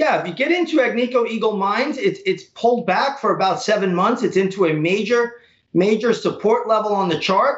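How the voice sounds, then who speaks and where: A man's high voice at a fairly quick pace, with ordinary pitch variation, very even loudness and audible room echo. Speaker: stock trader. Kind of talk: news interview. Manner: repetitive intensifiers, frequent fillers. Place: office. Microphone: webcam.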